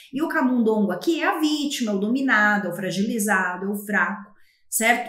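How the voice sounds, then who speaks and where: Audible room echo surrounds a woman whose fairly high pitch moves in very wide swings at a moderate pace. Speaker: literature teacher. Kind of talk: lecture.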